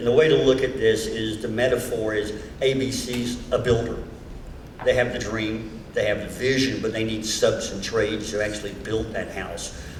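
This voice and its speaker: Intonation stays fairly even throughout. Audible room echo and noticeable background noise are present. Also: man, medium pitch for a man, moderate pace. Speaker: TV producer giving a talk. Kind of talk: motivational speech to volunteers. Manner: halting, repeats words.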